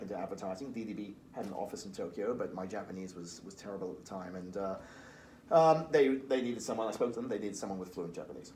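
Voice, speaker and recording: A man speaks very fast in a Liverpool accent, his voice fairly low with a dark, mellow tone. The room echo is audible. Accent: Liverpool (Scouse) English. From Liverpool, England. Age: 40s. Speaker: recruitment firm founder. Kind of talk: podcast interview.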